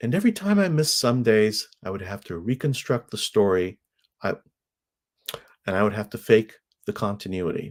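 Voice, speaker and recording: Moderate pace broken by long, frequent pauses. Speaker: podcaster doing a video challenge. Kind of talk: personal vlog monologue. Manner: uses filler words.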